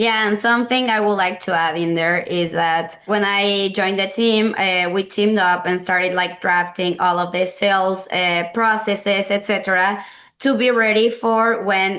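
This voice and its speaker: In a Mexican accent and a bright, sharp tone, a woman speaks at a moderate pace with very even loudness, fairly even intonation, and hardly any pauses. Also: medium pitch for a woman. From Mexico (Mexico City). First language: Spanish. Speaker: sales team member. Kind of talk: webinar presentation.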